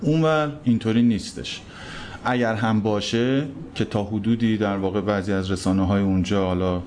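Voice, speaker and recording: In a room with audible echo, a man speaks at a moderate pace with a fairly low pitch. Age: 30s. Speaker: photo editor at a news agency. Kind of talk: interview. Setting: live recording in a cafe.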